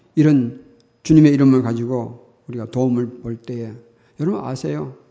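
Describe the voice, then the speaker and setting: In a room with audible echo, a man of medium pitch talks at a moderate pace with lively intonation. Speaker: pastor. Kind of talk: sermon.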